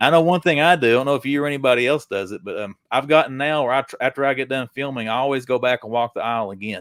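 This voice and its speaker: Hardly pausing, a man races along at a very fast pace in a medium pitch with ordinary variation, recorded very cleanly with a silent background and a dry, close sound free of echo. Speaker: toy collector YouTuber. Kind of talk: casual livestream interview.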